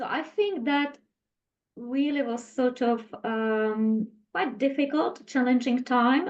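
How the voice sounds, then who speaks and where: A woman speaks at a high pitch with a Czech accent. Her pace is very slow, and her pitch varies in an ordinary way. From Czech Republic. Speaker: health and wellness specialist. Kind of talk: interview.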